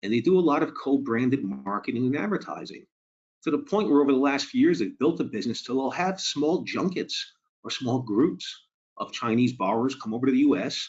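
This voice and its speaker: A man with a Boston accent at a fairly quick pace, with lively intonation. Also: fairly high pitch for a man. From Boston, US. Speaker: mortgage lending presenter. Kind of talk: webinar presentation. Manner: conversational, some filler and repetition.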